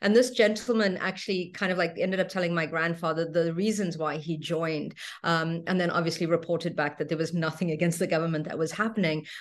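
A woman's fairly low voice, very fast with hardly any pauses and fairly even intonation, over a quiet background. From South Africa. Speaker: spiritual teacher and craniosacral therapist. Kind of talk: interview. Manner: halting.

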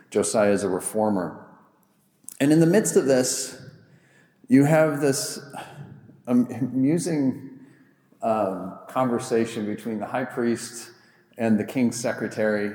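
With audible room echo, a man of medium pitch speaks at a fairly slow pace, using ordinary pitch variation and long, frequent pauses. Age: 40s. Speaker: pastor. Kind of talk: sermon.

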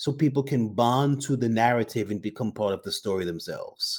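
An American man with a dark, mellow tone and lively intonation talks at a moderate pace on a very clean recording with a silent background. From Brooklyn, New York. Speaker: entrepreneur and liqueur founder. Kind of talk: casual interview chat.

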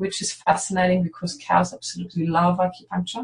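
A woman's somewhat breathy, medium-pitched voice with a German accent. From northern Germany. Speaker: veterinarian. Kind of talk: interview.

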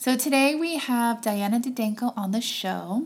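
Noticeable background noise sits under a woman's voice. She talks at a fairly slow pace with ordinary pitch variation. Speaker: podcast host. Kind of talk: scripted intro.

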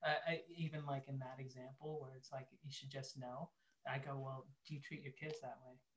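Somewhat breathy and fairly high, a man's voice runs at a fairly quick pace with monotone, flat intonation. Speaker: marriage ministry leader and entrepreneur. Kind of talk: casual interview chat. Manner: calm, lowered pace.

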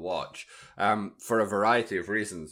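A man is speaking. His tone is bright and sharp. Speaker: podcast co-host. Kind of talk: casual podcast chat.

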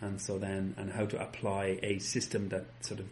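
The voice sounds somewhat breathy. It moves at a moderate pace. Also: man. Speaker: golf club fitter. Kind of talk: interview chat. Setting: fitting studio.

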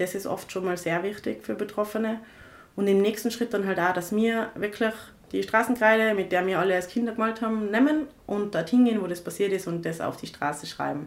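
Here is a woman with a normal speaking voice at medium pitch. She moves at a fairly quick pace with ordinary pitch variation. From Tyrol, Austria (rural village). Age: 20s. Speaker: activist, co-founder of a feminist initiative. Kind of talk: podcast interview.

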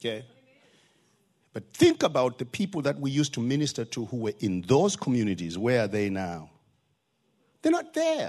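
A man with a Zimbabwean accent talks at a medium pitch and a moderate pace, using lively intonation and taking long, frequent pauses. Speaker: visiting preacher. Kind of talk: sermon. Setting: church.

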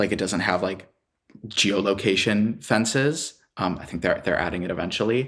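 With an American accent and an unremarkable speaking voice, a man talks at a fairly low pitch with ordinary pitch variation on a very clean recording with a silent background. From US Midwest, Chicago. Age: 20s. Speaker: graduate student. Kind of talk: casual chat.

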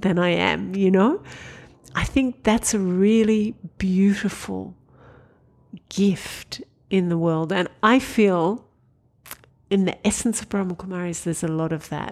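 A woman at a medium pitch with an Australian accent, fairly slow with long, frequent pauses and ordinary pitch variation. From Australia, Sydney. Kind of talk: casual interview conversation.

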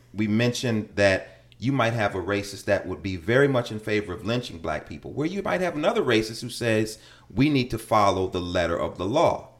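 With an American accent, a man speaks in an unremarkable speaking voice, medium-pitched and fairly quick, with lively intonation. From Chicago, West Side. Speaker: middle school teacher. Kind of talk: casual conversation.

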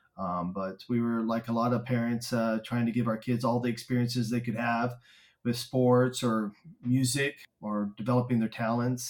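Moving at a moderate pace, a man speaks at a medium pitch. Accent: Texan. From Texas, Stephenville. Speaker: spouse of a patient. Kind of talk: interview conversation.

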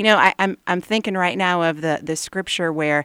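A woman talks at a fairly quick pace with ordinary pitch variation, in an unremarkable speaking voice. The sound is dry and close, with no echo. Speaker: homeschooling mother and writer. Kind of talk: radio interview.

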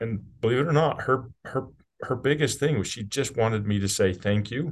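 In a normal speaking voice with an American accent, a man talks at a medium pitch and moderate pace with ordinary pitch variation against a quiet background. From US, rural southern Utah. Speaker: business CEO. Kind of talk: casual interview chat.

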